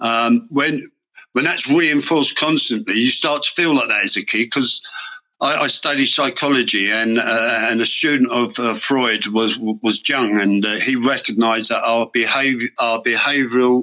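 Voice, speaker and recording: Speaking with a Mancunian accent, a man keeps a medium pitch and very even loudness at a moderate pace, his pitch varying in an ordinary way. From northern England, Manchester. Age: 60s. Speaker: reformed offender and animator. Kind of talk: interview, personal story. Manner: halting, with many repetitions and fillers.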